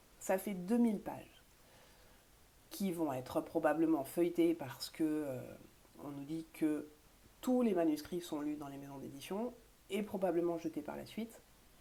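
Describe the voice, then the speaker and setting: With a dark, mellow tone and fairly low pitch, a woman speaks at a fairly slow pace, taking long, frequent pauses and making big swings in loudness. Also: lively intonation. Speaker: author vlogger. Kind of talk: casual vlog monologue. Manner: hesitant, many fillers.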